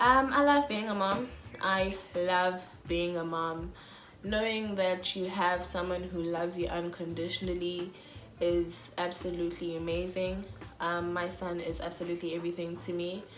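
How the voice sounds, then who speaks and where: In a Zulu accent, a woman speaks at a fairly slow pace with a fairly low pitch and ordinary pitch variation. Audible room echo surrounds her voice. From South Africa, Durban area (Phoenix). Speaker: YouTuber. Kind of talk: casual vlog. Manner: loud.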